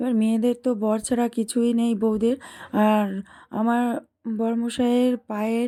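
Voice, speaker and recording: This woman has a dark, mellow tone at a fairly high pitch, with very even loudness and monotone, flat intonation. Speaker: vlogger. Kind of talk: vlog narration. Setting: outdoors, train and stations.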